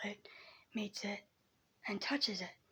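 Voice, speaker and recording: Noticeable background noise surrounds the speaker. A woman talks at a moderate pace with a fairly high pitch. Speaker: vlogger. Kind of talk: casual explainer vlog. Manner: hesitant, many ums.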